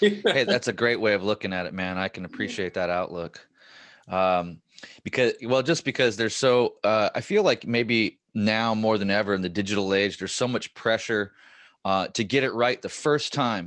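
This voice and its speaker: A man's normal speaking voice at a fairly low pitch, with ordinary pitch variation, a moderate pace and a quiet background. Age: 40s. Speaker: podcast host. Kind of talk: podcast interview.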